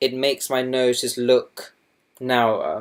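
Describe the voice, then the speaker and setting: A man speaks with a Southern English accent. His pitch is medium. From Essex, England. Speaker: doctor. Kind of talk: makeup tutorial talk to camera. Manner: hesitant, casual.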